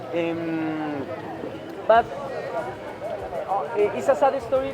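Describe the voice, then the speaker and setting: A man with a Spanish accent speaks with lively intonation, with music in the background and audible room echo. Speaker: tour guide. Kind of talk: guided walking tour. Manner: halting, many fillers.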